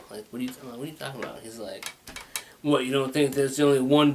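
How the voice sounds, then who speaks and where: With noticeable background noise behind him, a man speaks at a medium pitch with fairly even intonation. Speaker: talk show host. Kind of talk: casual monologue. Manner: rambling, halting.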